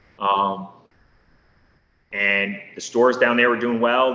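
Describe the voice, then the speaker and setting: A man with an American accent speaks in an ordinary speaking voice at medium pitch, with fairly even intonation and a moderate pace. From northeast Pennsylvania (Poconos). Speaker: small business owner. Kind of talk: podcast interview. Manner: casual, conversational with fillers.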